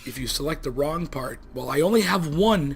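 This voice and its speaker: A man mumbles with ordinary pitch variation. Audible room echo is present. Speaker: let's play gaming youtuber. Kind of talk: casual gameplay commentary. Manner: mumbling.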